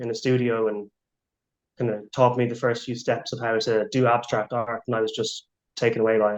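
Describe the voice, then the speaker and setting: A man speaks in an Irish accent at a medium pitch. His intonation is monotone and flat. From Ireland. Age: 20s. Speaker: abstract artist. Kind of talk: interview.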